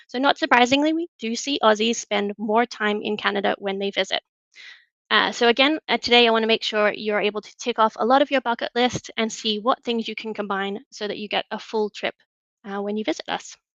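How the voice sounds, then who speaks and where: A woman with an Australian accent, fairly quick and fairly high-pitched, her loudness swinging widely, pitch moving in an ordinary way, the sound dry and close with no echo. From Australia, Newcastle. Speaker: travel product manager. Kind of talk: webinar presentation.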